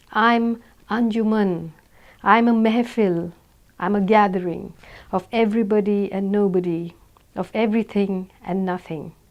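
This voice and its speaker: A woman with an Indian accent at a fairly slow pace, her intonation fairly even. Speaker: author reading own novel. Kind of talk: audiobook reading.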